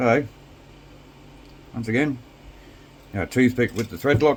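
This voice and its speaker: This man talks at a fairly quick pace. His pitch rises and falls in an ordinary way. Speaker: RC hobby youtuber. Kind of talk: tutorial. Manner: casual, with many fillers.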